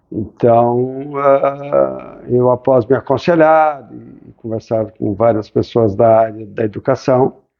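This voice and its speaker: A man talks at a very slow pace with hardly any pauses, his loudness swinging widely. His pitch is medium, with ordinary pitch variation. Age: 60s. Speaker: ophthalmologist, former student. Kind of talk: interview.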